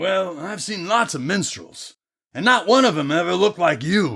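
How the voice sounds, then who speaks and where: On a very clean recording with a silent background, a man does a put-on character voice at a high pitch, using lively intonation at a moderate pace. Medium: audio drama. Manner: deadpan, sardonic.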